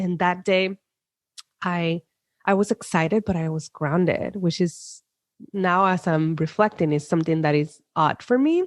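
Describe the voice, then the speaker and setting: In a Spanish accent, a woman speaks at a fairly slow pace with a fairly low pitch and ordinary pitch variation. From Puerto Rico, countryside. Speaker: psychologist. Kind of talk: interview.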